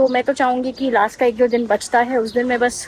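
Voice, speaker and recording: Noticeable noise sits in the background. The delivery keeps a moderate tempo. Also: woman. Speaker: travel vlogger. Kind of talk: casual vlog narration.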